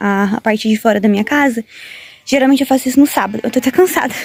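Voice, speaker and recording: Very fast speech comes through over noticeable background noise. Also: woman. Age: 20s. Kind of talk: casual vlog talk to camera.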